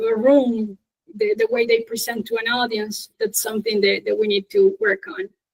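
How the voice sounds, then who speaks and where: A woman speaks in a Spanish accent. Her pitch is fairly high, and her intonation is monotone and flat. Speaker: English teacher, conference speaker. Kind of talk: Q&A after a conference talk.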